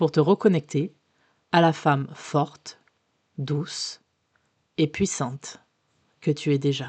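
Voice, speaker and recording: Against a quiet background, a woman with a very deep, low pitch talks very slowly with long, frequent pauses and fairly even intonation, in a dry, close sound with no echo. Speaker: sophrologist. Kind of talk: guided relaxation. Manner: soft, slow.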